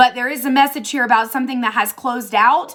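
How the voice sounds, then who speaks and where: In a very clean recording with a silent background, a woman talks at a fairly quick pace in a high pitch. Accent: American. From Tennessee. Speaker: tarot reader. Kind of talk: tarot reading monologue. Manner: casual, chatty.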